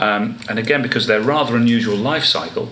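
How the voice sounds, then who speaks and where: A man with an English Midlands accent at a fairly quick pace, ordinary pitch variation, noticeable background noise and audible room echo. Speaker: marine biologist. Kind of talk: interview. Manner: hesitant, with fillers.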